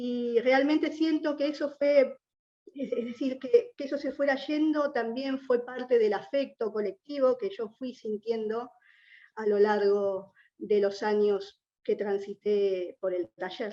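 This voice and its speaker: In an Argentine accent, a woman with a high pitch and a dark, mellow tone speaks at a very slow pace with ordinary pitch variation. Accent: Argentine Spanish (Rioplatense). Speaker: writer, former prisoner. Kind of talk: panel talk. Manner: halting, with repetitions.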